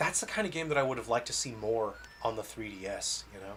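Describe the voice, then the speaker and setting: A man speaks very fast with an American accent and ordinary pitch variation. Noticeable background noise runs underneath. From California, US. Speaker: game developer streamer. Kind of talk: casual livestream gameplay chat. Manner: casual, hesitant with fillers.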